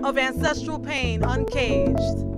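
Loud music plays behind a woman whose voice has a dry sound with no echo. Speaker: poet. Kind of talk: spoken word poetry performance. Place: street. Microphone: studio mic.

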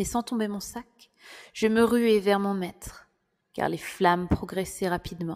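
A woman speaks in an ordinary speaking voice at medium pitch, with fairly even intonation and a fairly slow pace. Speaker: audiobook narrator. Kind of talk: dramatic audiobook narration, first-person storytelling.

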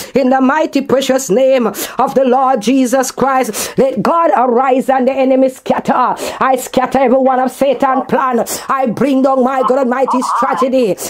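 A woman's high-pitched voice, very even in loudness, with fairly even intonation. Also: moderate pace, hardly any pauses. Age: old. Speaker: pastor; prayer minister. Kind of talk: prayer; fervent spoken prayer. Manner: fervent, repetitive. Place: garden. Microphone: camera far.

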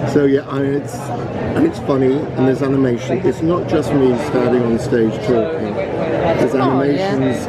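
Over crowd noise in the background, a man talks at a moderate pace with ordinary pitch variation. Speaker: guest. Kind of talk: casual chat with a fan. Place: hall. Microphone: phone near.

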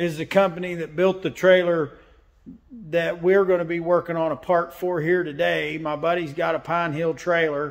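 Against a quiet background, a man speaks at a moderate pace with a high pitch and monotone, flat intonation. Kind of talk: casual vlog chat. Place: workshop. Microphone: phone near.

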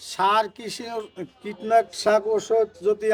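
A man speaks in a high pitch. His intonation is monotone and flat. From Faridpur, Bangladesh. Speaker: onion and garlic trader. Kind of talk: market interview. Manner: colloquial, dialectal.

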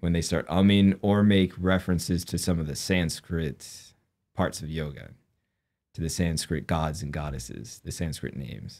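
A man's low-pitched, slightly mellow voice at a fairly slow pace, ordinary pitch variation, on a very clean recording with a silent background

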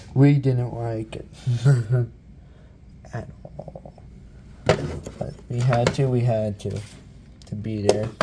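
A man at a very slow pace, with ordinary pitch variation, over loud background noise. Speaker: ASMR creator. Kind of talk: casual ASMR show-and-tell. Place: home room. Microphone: phone near.

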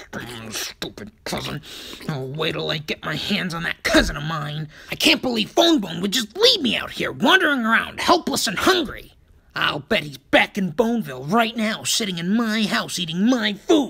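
This is a put-on character voice at a middle pitch. It moves at a moderate pace. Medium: dub. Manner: brash, impatient.

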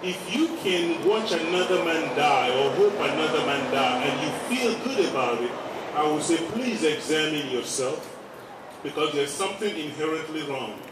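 The voice comes with audible room echo and noticeable background noise. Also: moderate pace. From Africa. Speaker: activist speaker and rally emcee. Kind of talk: rally speech. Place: street.

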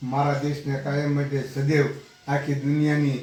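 Audible echo from the room mixes with noticeable background noise throughout the clip. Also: man. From Gujarat, Bhavnagar district. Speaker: devotee. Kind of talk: testimony.

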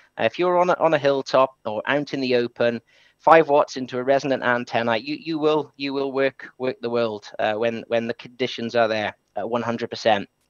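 The speech moves at a moderate pace with ordinary pitch variation, heard in a dry sound with no echo and a quiet background. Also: man. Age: 30s. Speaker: amateur radio operator. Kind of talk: presentation. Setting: live webinar stream. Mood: enthusiastic. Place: home room.

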